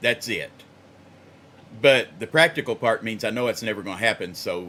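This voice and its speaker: A man with an American accent, fairly low in pitch, with a bright, sharp tone. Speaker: singer recording covers. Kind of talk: casual chat.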